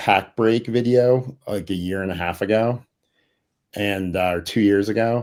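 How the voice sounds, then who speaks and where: In a very clean recording with a silent background, a man speaks at a fairly slow pace in a fairly low, normal speaking voice. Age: 40s. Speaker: sports card collector YouTuber. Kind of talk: casual chat.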